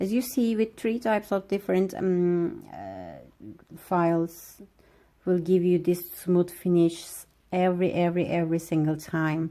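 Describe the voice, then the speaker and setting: A woman with a non-native accent speaks at a fairly slow pace, her pitch fairly low and her tone dark and mellow. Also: fairly even intonation. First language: not English. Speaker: nail technician. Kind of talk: tutorial. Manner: hesitant, frequent fillers.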